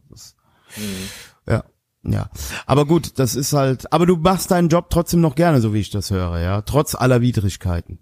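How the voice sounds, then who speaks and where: The man's pitch swings very widely as he speaks at a moderate pace. The sound is dry and close, with no echo. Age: 40s. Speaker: podcast co-host. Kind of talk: casual chat.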